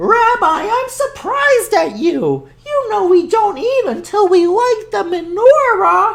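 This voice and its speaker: A squeaky, put-on character voice with lively intonation, a fairly slow pace and hardly any pauses. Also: woman, extremely high pitch for a woman. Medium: read story. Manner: warm, chatty.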